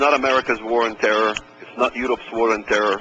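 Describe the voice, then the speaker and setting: There is noticeable background noise as a man with an Arabic accent speaks at a moderate pace. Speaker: author and speaker. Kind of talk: radio interview.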